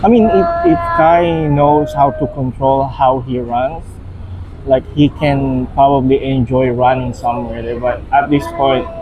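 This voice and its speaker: Noticeable background noise surrounds a man with a fairly high pitch. He talks at a fairly slow pace with ordinary pitch variation. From Philippines. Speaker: vlogger's partner. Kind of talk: casual chat. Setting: outdoors.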